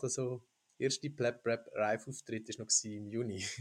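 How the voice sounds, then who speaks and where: With a Swiss accent, a man speaks in fairly even intonation. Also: very clean recording, silent background. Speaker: bitcoin meetup organizer. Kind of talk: casual panel discussion.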